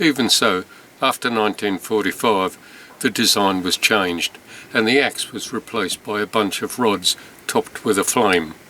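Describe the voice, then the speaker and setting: A man with an English accent talks at a moderate pace, his fairly low voice showing ordinary pitch variation. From England. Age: 70s. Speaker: stamp collector. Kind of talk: storytelling narration. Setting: indoors, rainy night. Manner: conversational.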